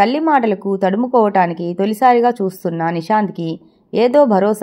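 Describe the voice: Here the speaker is doing plain reading aloud.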